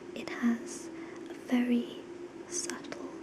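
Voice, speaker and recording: Whispering in a soft-spoken, gentle tone, the speaker goes at a very slow pace over noticeable background noise. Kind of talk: ASMR whisper talk to camera. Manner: whispered, soft, gentle.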